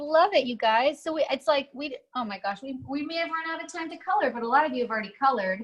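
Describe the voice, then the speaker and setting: A woman speaks in a high voice at a fairly quick pace. Her intonation is lively. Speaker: art teacher for kids. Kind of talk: online kids' drawing class. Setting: video call. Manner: animated.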